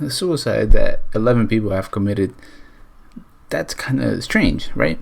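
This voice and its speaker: Over noticeable background noise, the speaker uses an animated tone and moves at a moderate pace. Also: man. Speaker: YouTuber, storyteller. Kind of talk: storytelling vlog. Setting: talking to camera. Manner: casual, animated.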